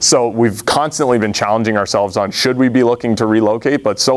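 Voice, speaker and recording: A man with an American accent speaks in a normal speaking voice at medium pitch. His pace is fairly quick and his intonation fairly even. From Massachusetts. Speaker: startup founder; presenter. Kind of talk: audience Q&A answers; business pitch. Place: meeting room. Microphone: lapel.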